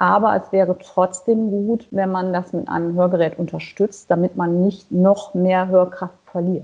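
A woman speaks at a fairly slow pace with hardly any pauses. Her medium-pitched voice stays monotone and flat. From western Germany near Dutch border. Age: 40s. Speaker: singer with hearing aids. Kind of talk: interview. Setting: phone call. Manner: many hesitations (äh, ähm).

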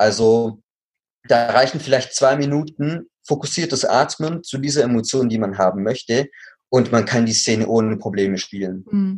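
At a moderate pace, a man with a slight Swabian accent speaks at a medium pitch. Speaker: actor and acting coach. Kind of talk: interview.

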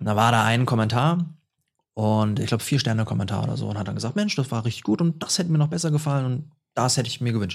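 Talking at a very fast speed, this man has a medium-pitched voice. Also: ordinary pitch variation. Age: 20s. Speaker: author and speaker. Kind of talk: interview conversation.

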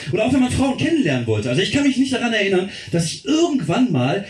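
A man talks at a very fast pace with very wide pitch swings, music playing in the background and audible room echo. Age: 40s. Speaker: comedian. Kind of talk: stand-up. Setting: stage with audience.

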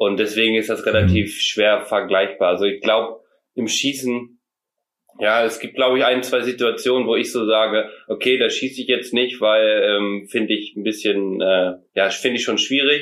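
With fairly even intonation and a moderate pace, this is an unremarkable speaking voice. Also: man, medium pitch for a man. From Mecklenburg-Vorpommern, northern Germany. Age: 20s. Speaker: hunter and hunting filmmaker. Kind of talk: casual podcast interview.

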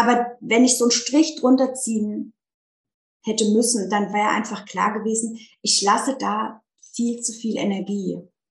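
A woman's fairly high, somewhat breathy voice at a moderate pace. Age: 30s. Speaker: teacher turning life coach. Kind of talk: casual interview chat.

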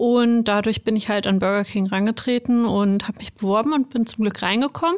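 An ordinary speaking voice moves at a fairly quick pace with ordinary pitch variation and a dry, close sound with no echo. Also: woman, fairly high pitch for a woman. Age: 20s. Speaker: HR analyst. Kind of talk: casual chat.

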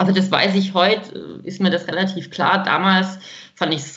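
A woman speaks in an unremarkable speaking voice at a moderate pace and medium pitch. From Baden-Württemberg, Germany. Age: 30s. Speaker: woman with congenital heart defect, grief companion for children. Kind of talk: podcast interview.

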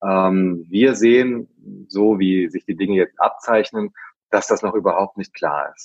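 Dry and close with no echo, a man's fairly low voice moves at a fairly slow pace, with ordinary pitch variation and big swings in loudness. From central Hesse, Germany (Herborn). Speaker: hospitality trade association executive. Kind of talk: interview. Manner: halting with frequent fillers and repetitions.

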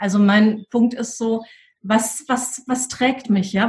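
Her voice is a plain, everyday voice, a woman's at a fairly high pitch with fairly even intonation. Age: 40s. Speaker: school leadership coach, former head teacher. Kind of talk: interview.

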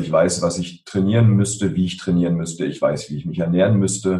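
Very wide pitch swings in a somewhat breathy male voice. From Berlin (Spandau). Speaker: emotional intelligence trainer and author. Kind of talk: interview. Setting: video call.

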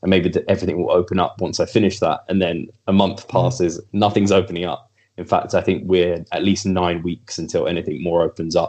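A man with an English accent, very deep and low in pitch, fairly even in intonation, at a fairly quick pace. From England. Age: 30s. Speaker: bodybuilder.

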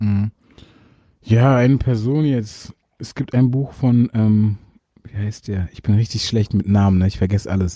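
In a dry, close sound with no echo, a man with a fairly low pitch and a dark, mellow tone speaks at a fairly slow pace, with fairly even intonation and long, frequent pauses. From Germany, Berlin. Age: young. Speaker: rapper. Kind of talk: interview.

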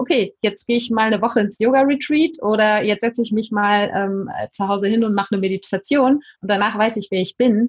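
A woman with a somewhat breathy voice and fairly high pitch speaks at a fairly quick pace with fairly even intonation. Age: 40s. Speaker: life coach. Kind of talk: podcast interview.

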